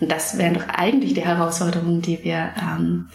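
Noticeable background noise sits behind the recording. A woman with fairly low pitch speaks at a moderate pace. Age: 30s. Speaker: playwright. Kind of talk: interview. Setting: theatre building. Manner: halting, many fillers.

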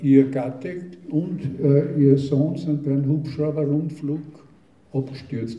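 In a room with audible echo, a man speaks very slowly at a fairly high pitch, sounding somewhat breathy. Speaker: dialect poet. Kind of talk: talk and poetry reading.

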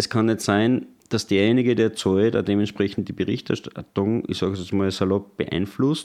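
In a normal speaking voice, a man talks at a moderate pace with fairly even intonation and a fairly low pitch. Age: 30s. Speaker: party spokesman. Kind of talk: interview.

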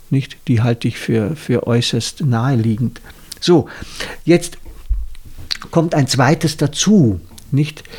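A man speaks at a very slow pace with long, frequent pauses. His medium-pitched voice is somewhat breathy. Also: lively intonation. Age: 60s. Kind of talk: casual chat.

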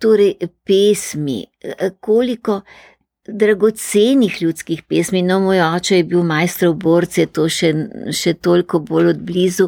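Very clean, silent-background recording of a woman with a dark, mellow tone, fairly low pitch, ordinary pitch variation and very even loudness. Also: dry, close sound with no echo. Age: 80s+. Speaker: retired teacher and folklore collector. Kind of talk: interview. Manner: animated.

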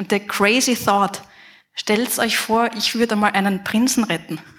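A woman with a fairly high pitch and fairly even intonation speaks in a plain, everyday voice. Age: 30s. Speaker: game development professor. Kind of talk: conference talk.

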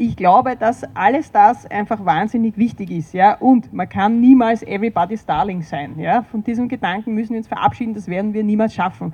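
A woman's somewhat breathy, dark, mellow voice, fairly high in pitch, with ordinary pitch variation, a fairly quick pace and hardly any pauses. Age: 50s. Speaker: environmental activist. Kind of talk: panel discussion.

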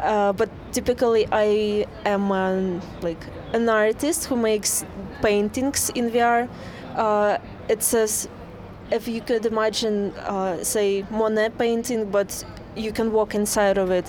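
In a Russian accent, a woman speaks at a very slow pace with a fairly high pitch. Her intonation is fairly even, and noticeable background noise can be heard. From Russia, St. Petersburg. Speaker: VR artist. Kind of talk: interview. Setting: outdoors.

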